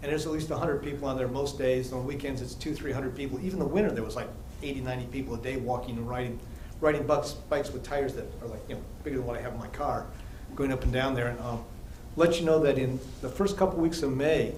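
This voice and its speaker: Over noticeable background noise and audible room echo, a man with an American accent talks at a very fast pace, with fairly high pitch and fairly even intonation. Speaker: resident speaking at public comment. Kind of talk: public comment at council meeting.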